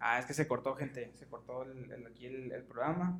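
A man speaks at a moderate pace in an unremarkable speaking voice. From Mexicali, Baja California, Mexico. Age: 20s. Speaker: podcast co-host. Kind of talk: casual chat.

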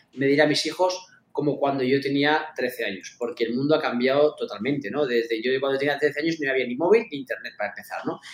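A plain, everyday voice moves at a fairly quick pace. Its pitch variation is ordinary. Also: man. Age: 40s. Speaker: esports club founder and executive. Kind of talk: interview.

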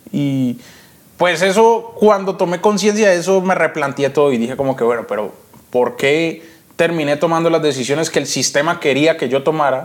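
Lively intonation marks this man's fairly high-pitched voice at a moderate pace. Noticeable background noise runs underneath. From Colombia, Cali. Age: 20s. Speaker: trader and trading educator. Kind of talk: interview.

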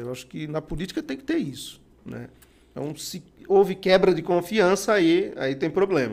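This man's pitch is high. He talks at a fairly slow pace. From Bahia, Brazilian Northeast. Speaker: city councillor. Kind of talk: podcast interview. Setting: studio with cameras.

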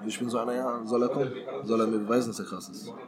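Over noticeable background noise and audible room echo, a man speaks at medium pitch at a very fast pace. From Berlin, Germany. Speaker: professional footballer. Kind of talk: casual interview. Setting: shisha bar.

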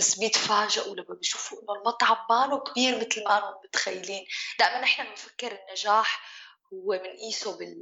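Speaking at a moderate pace, a woman lets her loudness swing widely from moment to moment. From Syria. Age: 30s. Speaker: chef and restaurant owner. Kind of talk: interview conversation.

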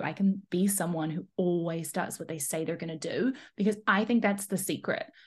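Somewhat breathy, a woman speaks at a moderate pace with a medium pitch and ordinary pitch variation. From New Zealand. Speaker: high performance coach. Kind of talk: casual interview chat. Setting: remote call.

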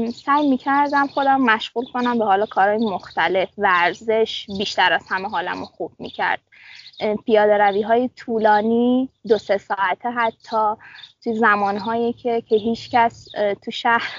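Her pitch fairly high, a woman talks at a fairly slow pace with ordinary pitch variation. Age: 20s. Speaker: medical student. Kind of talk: casual interview. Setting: outdoors in dorm courtyard.

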